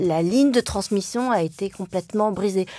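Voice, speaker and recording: Very clean recording with a silent background. A woman speaks at a medium pitch with a dark, mellow tone. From France, Le Mans (Sarthe). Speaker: journalist and writer. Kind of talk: interview conversation. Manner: hesitant, many fillers.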